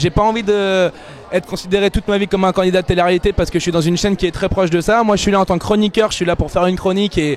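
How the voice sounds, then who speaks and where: At a very fast pace and with fairly even intonation, the speaker talks over noticeable background noise. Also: man. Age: 20s. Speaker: TV columnist. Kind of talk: interview.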